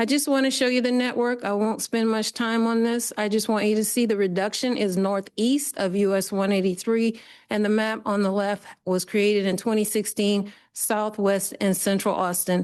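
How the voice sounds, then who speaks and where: With an ordinary speaking voice of fairly high pitch, a woman talks at a moderate pace with hardly any pauses, fairly even intonation and very even loudness against a quiet background. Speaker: public commenter. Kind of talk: public comment with slides. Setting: committee meeting boardroom.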